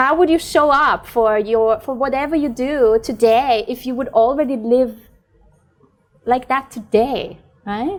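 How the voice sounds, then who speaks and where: A woman speaks at a fairly slow pace in a high pitch, with ordinary pitch variation. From Austria, Vienna. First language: German. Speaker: podcast host and mentor. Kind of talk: interview. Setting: sitting at a table, filmed interview. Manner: animated.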